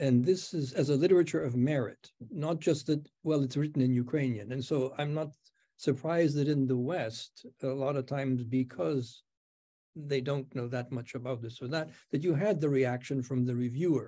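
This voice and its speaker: The voice belongs to a man with a dark, mellow tone. He keeps to a moderate pace. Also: ordinary pitch variation, quiet background. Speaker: professor, interlocutor; professor. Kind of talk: interview questions. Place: home room. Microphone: webcam.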